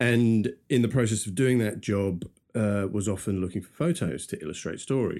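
A man talks at a moderate pace with ordinary pitch variation. His fairly low pitch has a dark, mellow tone. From London, England. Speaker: podcast co-host, media professional. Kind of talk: casual chat.

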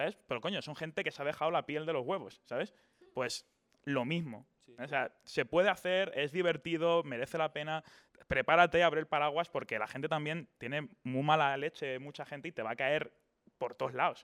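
This man has a plain, everyday voice, fairly high in pitch. He talks at a moderate pace with ordinary pitch variation. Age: 20s. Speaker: YouTuber. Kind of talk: casual interview.

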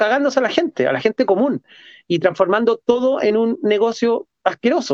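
A man with a Chilean accent, high-pitched, at a moderate pace, in a dry, close sound with no echo. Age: 40s. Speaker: street artist and photographer. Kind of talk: casual chat.

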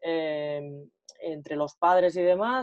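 We hear a woman. Her pitch varies in an ordinary way. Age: 30s. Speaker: football coach and commentator, former player. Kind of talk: interview. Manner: hesitant, with many fillers.

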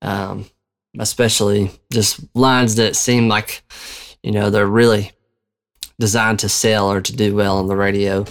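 With long, frequent pauses, a man speaks at a moderate pace in a fairly low, monotone voice with flat intonation. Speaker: worship music podcast host. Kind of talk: casual solo podcast talk. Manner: pausing, halting.

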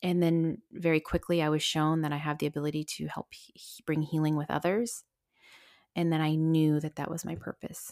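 A woman with an American accent speaks at a moderate pace in a very deep, low voice with fairly even intonation. Her loudness swings widely, and the recording is very clean with a silent background. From US, small town. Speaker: spiritual medium and podcast co-host. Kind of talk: solo personal storytelling. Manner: casual, many fillers and laughs.

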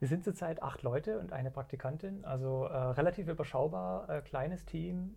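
The speech has a moderate pace and ordinary pitch variation. There is a somewhat breathy quality to it. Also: man. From Germany. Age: 40s. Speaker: indie game developer. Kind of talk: casual chat. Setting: studio.

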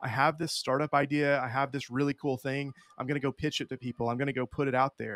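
In an American accent, a man talks at a fairly quick pace with a medium pitch and an ordinary speaking voice, in a very clean recording with a silent background and a dry, close sound with no echo. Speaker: financial educator. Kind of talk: casual interview.

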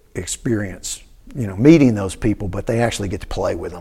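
The voice is somewhat breathy, with a dark, mellow tone. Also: man. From Tennessee, Cookeville. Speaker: music professor and percussionist. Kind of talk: interview.

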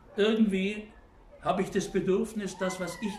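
A man talks at a high pitch. Audible room echo and noticeable background noise surround him. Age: 70s. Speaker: German teacher. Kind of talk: interview.

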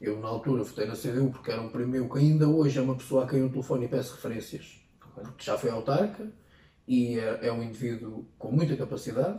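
Ordinary pitch variation at a fairly quick pace. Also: man, medium pitch for a man. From Portugal, Ferrel (Peniche area). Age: 20s. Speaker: local politician. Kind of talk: interview. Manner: halting.

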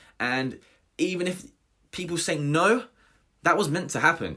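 A man with a southern English accent speaks in a bright, sharp tone with vocal fry. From southern England, Hampshire. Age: 20s. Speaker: personal trainer and podcast host. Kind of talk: solo podcast monologue. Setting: home recording without studio equipment.

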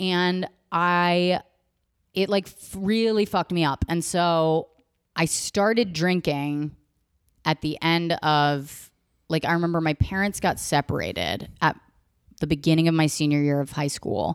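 A woman with a plain, everyday voice and a fairly low pitch speaks at a fairly slow pace with ordinary pitch variation, in a dry, close sound with no echo. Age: 30s. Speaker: actress and comedian. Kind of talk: casual chat. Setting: at home, in her apartment.

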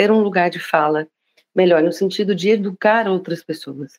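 A woman with a normal speaking voice talks at a moderate pace, her pitch medium and her intonation fairly even. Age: 40s. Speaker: diversity and inclusion specialist. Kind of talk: casual conversation.

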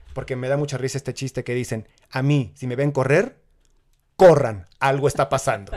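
Medium pitch, fairly even intonation and a moderate pace in a man's ordinary speaking voice. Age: 40s. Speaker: amateur marathon runner. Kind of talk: casual interview.

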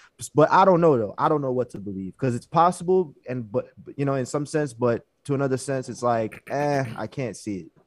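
A man with an unremarkable speaking voice talks at a medium pitch and a fairly quick pace. His intonation is lively. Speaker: podcast host. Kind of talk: casual chat.

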